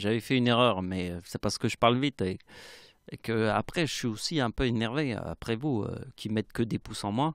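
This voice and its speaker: The sound is dry and close with no echo as a man talks at a medium pitch and a moderate pace. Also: very clean recording, silent background. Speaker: youtuber explaining numerology theories. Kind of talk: monologue video explanation.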